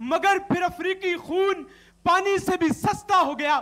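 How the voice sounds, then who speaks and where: A man's raised, projected voice, extremely high in pitch, bright and sharp in tone, with fairly even intonation. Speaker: university student debater. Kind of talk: declamation speech. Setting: TV studio stage. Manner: impassioned, oratorical.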